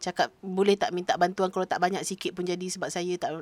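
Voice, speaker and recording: Recorded dry and close with no echo, a woman speaks at a moderate pace. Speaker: podcast co-host. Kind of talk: casual chat.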